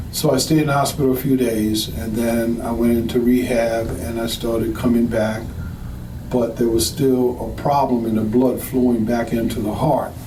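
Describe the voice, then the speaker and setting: The intonation stays fairly even at a moderate pace. Room echo is audible and background noise is noticeable. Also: man, medium pitch for a man. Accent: American. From US South, New Orleans. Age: 60s. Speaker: patient giving testimonial. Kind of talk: testimony.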